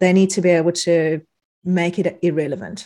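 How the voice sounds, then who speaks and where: Speaking with a South African accent, a woman uses a medium pitch. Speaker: psychologist turned non-alcoholic drinks business owner. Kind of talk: casual interview.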